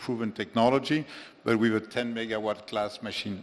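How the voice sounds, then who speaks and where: A man in a French accent, medium-pitched and monotone with flat intonation, at a moderate pace. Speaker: offshore wind executive. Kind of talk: conference panel discussion. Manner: halting, many fillers and repetitions.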